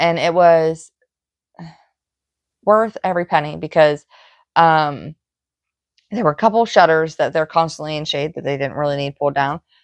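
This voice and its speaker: A woman speaks with a very deep, low pitch. She leaves long, frequent pauses. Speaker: cross stitch vlogger. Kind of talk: casual chat. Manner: hesitant with frequent fillers.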